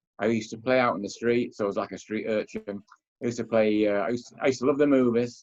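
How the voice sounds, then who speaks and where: A man with a Manchester accent talks at a very fast pace. His pitch is medium and his intonation fairly even. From northern England, Manchester. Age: 70s. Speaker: author and philosopher. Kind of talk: interview.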